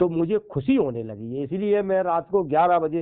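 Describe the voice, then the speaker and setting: Very wide pitch swings in a man's fairly high-pitched voice. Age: 60s. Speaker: Buddhist monk and social activist. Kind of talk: casual phone conversation.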